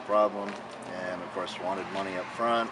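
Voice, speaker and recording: A man's fairly low voice in a flat monotone, with noticeable background noise. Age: 60s. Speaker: retired carpenter. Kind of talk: interview answer.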